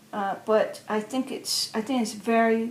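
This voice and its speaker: Noticeable background noise sits behind a woman speaking fairly slowly. Her pitch is fairly high and her intonation fairly even. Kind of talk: personal storytelling. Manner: hesitant, conversational.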